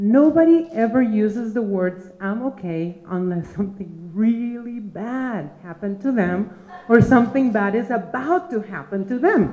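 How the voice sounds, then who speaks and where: Through noticeable background noise and audible room echo, a woman speaks at a fairly high pitch. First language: Spanish. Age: old. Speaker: storyteller. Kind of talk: live storytelling. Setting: stage with audience.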